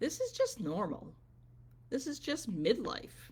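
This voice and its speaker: A woman talks with vocal fry. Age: 60s. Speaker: business coach and wellness vlogger. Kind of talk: motivational livestream talk. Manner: conversational, with filler ums.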